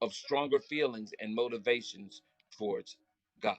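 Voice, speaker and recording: A man with an American accent and lively intonation at a moderate pace, in a dry, close sound with no echo. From Florida. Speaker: spiritual motivational speaker. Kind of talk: live stream talk. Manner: loud; animated.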